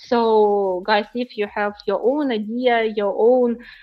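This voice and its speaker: Speaking very slowly, a woman with a Ukrainian accent has a fairly high voice. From Ukraine. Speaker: startup founder. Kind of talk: interview. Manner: halting, many fillers.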